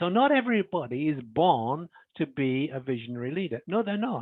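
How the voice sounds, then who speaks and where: A man talks at a moderate pace in a fairly high voice. His pitch swings very widely. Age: 70s. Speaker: leadership author and webinar presenter. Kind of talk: webinar Q&A. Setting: online webinar. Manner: halting, many fillers and repetitions.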